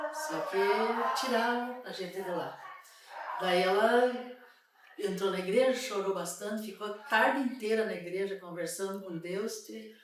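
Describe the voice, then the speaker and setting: There is noticeable background noise in this clip. A woman speaks at a moderate pace and medium pitch, with ordinary pitch variation. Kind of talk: interview answer.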